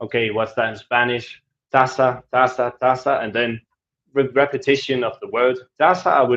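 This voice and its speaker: A man with a Danish accent talks at a moderate pace in a medium pitch. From Denmark. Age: 20s. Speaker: travel vlogger. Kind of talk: live stream Q&A. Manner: casual, with fillers.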